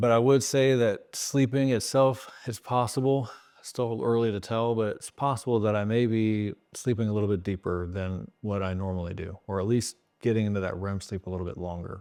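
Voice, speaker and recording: A man talks at a fairly quick pace in a fairly low pitch. His tone is dark and mellow, with big swings in loudness. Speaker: YouTuber sharing diet journey. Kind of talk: casual vlog talk to camera. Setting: home video recording at night. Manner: monotone; not animated, flat delivery.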